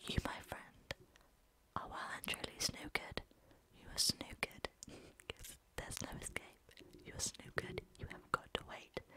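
A soft-spoken woman whispers with long, frequent pauses amid noticeable background noise. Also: moderate pace, dry sound with no echo. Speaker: language teacher. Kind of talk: casual lesson explaining slang. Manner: soft close-mic ASMR whisper. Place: home room. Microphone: studio mic.

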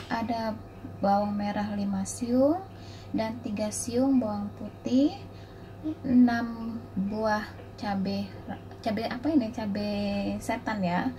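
The speech moves at a very slow pace with long, frequent pauses. Light background noise is heard. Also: woman. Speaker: home cook vlogger. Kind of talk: cooking tutorial. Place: kitchen. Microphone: phone near.

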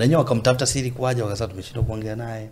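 A man speaks in an ordinary speaking voice at a medium pitch. His pace is fairly quick. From Tanzania, Mbeya. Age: young. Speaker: gospel singer. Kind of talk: casual interview.

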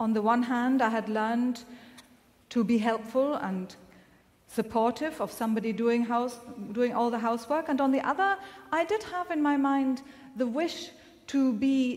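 This woman has a high-pitched voice and ordinary pitch variation. She keeps a moderate pace but takes long, frequent pauses. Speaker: minister preaching. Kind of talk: sermon. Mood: calm, reflective storytelling. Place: church.

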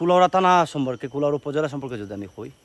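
A man speaks with a fairly high pitch in a plain, everyday voice. The sound is dry and close, with no echo. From Habiganj, Sylhet region, Bangladesh. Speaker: travel vlogger. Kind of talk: casual travel vlog talk to camera. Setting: outdoors in hills.

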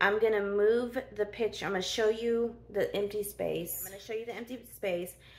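The pace is moderate. Intonation remains fairly even throughout. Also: woman. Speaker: home decluttering vlogger. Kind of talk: casual vlog chat. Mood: grateful, relieved. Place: garage. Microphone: phone near.

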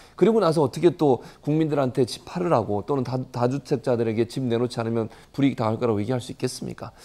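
A man talks at a very fast pace with hardly any pauses. His tone is dark and mellow, at a medium pitch with ordinary pitch variation. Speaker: professor. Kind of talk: panel discussion. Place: studio. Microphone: lapel.

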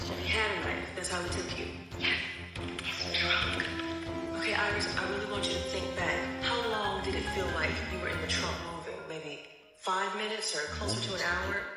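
A woman speaks at a moderate pace with long, frequent pauses. Loud music plays in the background, and the room echo is audible. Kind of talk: acted drama dialogue. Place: office.

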